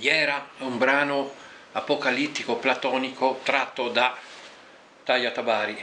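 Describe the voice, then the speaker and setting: A medium-pitched man with a Venetian accent at a very slow pace, with noticeable background noise. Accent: Venetian Liventina dialect. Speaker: poet. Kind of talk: poetry reading.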